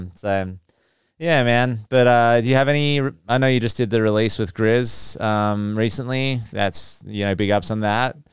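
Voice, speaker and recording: A man with an Australian accent, medium pitch, fairly even intonation and a moderate pace. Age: 30s. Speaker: DJ and producer. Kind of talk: casual chat.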